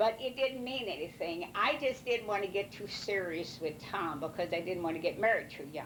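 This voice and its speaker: Lively intonation runs through this voice in a rural Missouri accent. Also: woman. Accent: rural Missouri American. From US Midwest, Missouri, Ste. Genevieve County. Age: 80s+. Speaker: elderly mother interviewed by family. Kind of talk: oral history interview. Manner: halting, many fillers.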